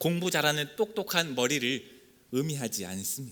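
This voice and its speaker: On a very clean recording with a silent background, a man with a fairly high pitch and bright, sharp tone uses lively intonation at a fairly slow pace. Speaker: pastor. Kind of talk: sermon.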